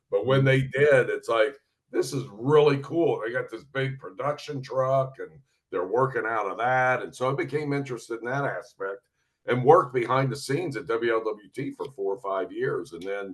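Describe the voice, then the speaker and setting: A man with a southern Ohio accent talks at a moderate pace. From southern Ohio, US. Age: 60s. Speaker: retired sports reporter and broadcaster. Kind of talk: interview. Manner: laid back.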